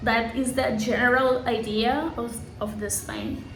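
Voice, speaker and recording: A woman speaks with a Spanish accent. Noticeable background noise and audible room echo surround her voice. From Colombia, Santa Marta. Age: 20s. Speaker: English teacher. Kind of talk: self-introduction video for a course. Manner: halting, self-correcting.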